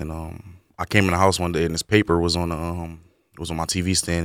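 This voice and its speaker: Speaking in an American accent, a man delivers his words with monotone, flat intonation. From Camden, New Jersey. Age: 20s. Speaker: carpentry program graduate. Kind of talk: radio interview. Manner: halting.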